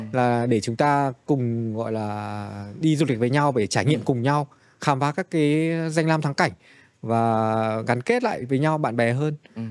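A man with medium pitch and ordinary pitch variation, a plain, everyday voice at a fairly slow pace over a quiet background. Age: 40s. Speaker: travel company executive; podcast guest. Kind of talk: interview conversation. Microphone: studio mic.

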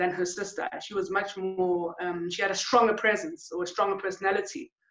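A woman at a moderate pace, with audible room echo and a quiet background. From South Africa, KwaZulu-Natal township. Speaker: photographer and artist. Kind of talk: interview conversation. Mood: calm, reflective. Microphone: webcam.

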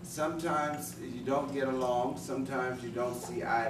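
A man at a moderate pace, with noticeable background noise. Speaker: elder family speaker. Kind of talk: speech. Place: meeting room. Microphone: camera far.

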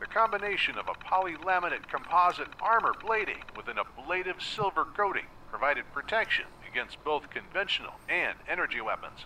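Against faint background noise, a man puts on a character voice that is fairly high in pitch, bright and sharp in tone, moving at a fairly quick pace with big pitch swings. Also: few pauses.

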